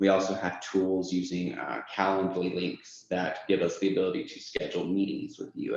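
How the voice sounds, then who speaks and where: The delivery is at a fairly quick pace, with audible room echo. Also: man. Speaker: software onboarding lead. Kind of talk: company presentation. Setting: presentation to audience.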